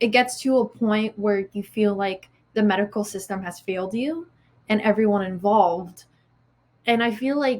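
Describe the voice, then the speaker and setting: Moderate pace, ordinary pitch variation, and a somewhat breathy quality. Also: woman. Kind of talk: interview answer.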